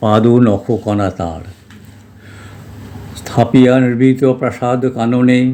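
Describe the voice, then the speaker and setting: Noticeable background noise runs behind the speaker. He is a man with a medium pitch. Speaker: retired mechanical engineer. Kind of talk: poetry reading. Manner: soft-spoken.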